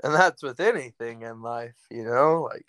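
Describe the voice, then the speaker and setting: A man speaks at a medium pitch with ordinary pitch variation, in an ordinary speaking voice. The sound is dry and close, with no echo. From Salem, Oregon, US West Coast. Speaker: ranch hand. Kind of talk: casual chat.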